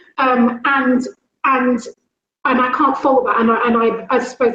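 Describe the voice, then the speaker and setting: A woman with a London accent speaks at a fairly high pitch. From London, England. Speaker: school leader. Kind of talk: talk. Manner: fast; loud.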